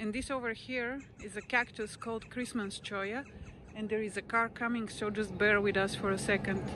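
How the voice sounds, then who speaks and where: At a moderate pace, a woman with a fairly high voice speaks in a monotone, flat way, with a dry sound with no echo and noticeable background noise. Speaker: vlogger. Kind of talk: casual walking vlog narration. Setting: outdoors on a walk. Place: open country. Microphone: lapel.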